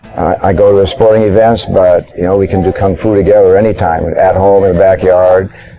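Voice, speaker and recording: Moderate pace over noticeable background noise. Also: man. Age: 60s. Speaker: martial arts student. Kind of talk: interview testimony. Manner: halting.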